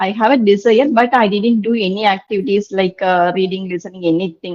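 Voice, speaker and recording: The speaker has a Tamil Nadu accent. Pitch variation is ordinary. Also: woman. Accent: Tamil Indian English. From India, Tamil Nadu. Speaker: English learner. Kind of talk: online tutoring session. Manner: halting.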